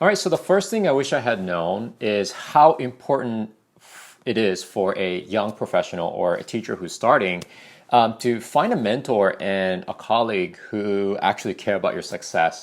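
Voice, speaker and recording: A man with a medium-pitched voice speaks at a moderate pace, his intonation lively and his loudness swinging widely, on a very clean recording with a silent background. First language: not English. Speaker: ESL teacher. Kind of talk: casual vlog advice talk. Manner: conversational, many fillers.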